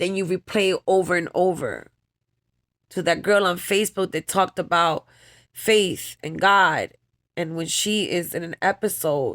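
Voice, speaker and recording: Someone speaks in a New York accent at a moderate pace, with fairly even intonation. The recording is very clean and dry, close with no echo, and the background is silent. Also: woman. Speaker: vlogger. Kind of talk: personal vlog monologue. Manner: emotional, halting.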